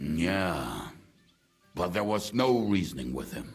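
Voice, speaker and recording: A man's growling, put-on character voice, very deep and low, with lively intonation at a fairly slow pace. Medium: video game. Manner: blunt, crude.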